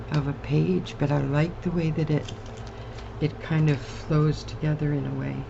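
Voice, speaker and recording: At a moderate pace, a woman speaks amid noticeable background noise. Audible room echo surrounds her voice. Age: 60s. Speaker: collage crafter. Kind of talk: crafting tutorial chat. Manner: casual, chatty.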